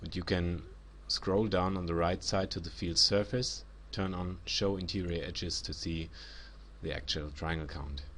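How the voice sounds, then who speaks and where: A man's very deep, low voice with vocal fry and a German accent, at a fairly slow pace, in audible room echo. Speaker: 3D software instructor. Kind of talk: tutorial.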